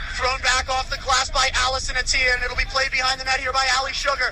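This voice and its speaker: A man's raised, projected voice at an extremely high pitch and a very fast pace, with noticeable background noise. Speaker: radio play-by-play announcer. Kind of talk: live ice hockey radio play-by-play. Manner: fast, energetic, rapid-fire.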